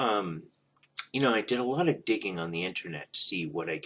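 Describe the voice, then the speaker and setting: A man speaks at a moderate pace. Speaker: vinyl record collector vlogger. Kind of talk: casual chat. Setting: at home, early morning. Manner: hesitant, many fillers.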